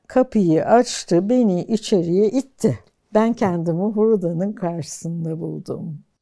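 The tone is dark and mellow at a very slow pace. The background stays quiet. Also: woman, medium pitch for a woman, ordinary pitch variation. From Turkey, Ankara. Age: 70s. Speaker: archaeology professor. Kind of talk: life-story interview. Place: home room. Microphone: lapel.

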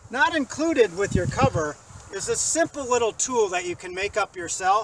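A man speaks at a fairly quick pace. The sound is dry with no echo, though background noise is noticeable. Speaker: product demonstrator. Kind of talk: tutorial. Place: open country.

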